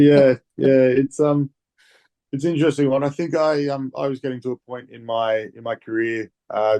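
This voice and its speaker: With an Australian accent, a man speaks at a moderate pace in a medium pitch, his dark, mellow tone carrying fairly even intonation. The sound is dry and close with no echo, and the loudness swings widely. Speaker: rugby player. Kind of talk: interview.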